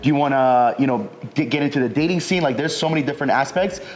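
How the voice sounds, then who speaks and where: Amid noticeable background noise, a man with a fairly high pitch talks at a very fast pace with ordinary pitch variation. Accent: American. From United States. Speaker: recruiting business owner, entrepreneur. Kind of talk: casual interview chat. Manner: casual, filler-heavy.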